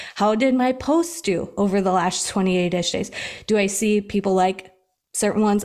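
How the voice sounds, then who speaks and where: Speaking at a moderate pace, a woman with an American accent uses lively intonation. Her pitch is medium and her loudness very even. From US Midwest. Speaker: health and fitness coach, podcast host. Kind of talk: casual chat. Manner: animated.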